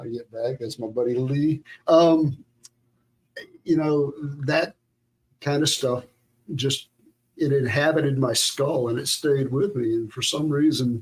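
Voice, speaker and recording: Speaking fairly slowly in a Southern US accent, a man uses a fairly high pitch, fairly even intonation and a somewhat breathy voice, with long, frequent pauses. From US South, south Georgia. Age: 60s. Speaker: guitarist. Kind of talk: casual chat.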